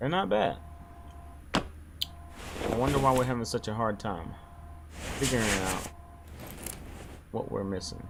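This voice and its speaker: Noticeable background noise surrounds a man who speaks at a fairly slow pace and fairly low pitch, with lively intonation and long, frequent pauses. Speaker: gaming youtuber. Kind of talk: gameplay commentary.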